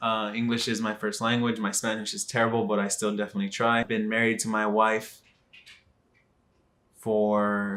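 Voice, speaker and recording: A man with an American accent speaks in a fairly low, bright, sharp voice. His delivery is monotone and flat, broken by long, frequent pauses. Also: moderate pace. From Texas, Dallas. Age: 20s. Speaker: vlogger. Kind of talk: casual vlog monologue. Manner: hesitant, many fillers.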